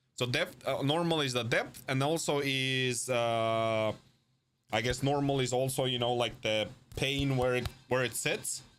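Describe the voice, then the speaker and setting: With a non-native accent, a man speaks at a fairly slow pace and medium pitch. His intonation is fairly even and his loudness very even. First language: not English. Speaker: game dev streamer. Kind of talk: casual live stream chat. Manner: halting, many fillers.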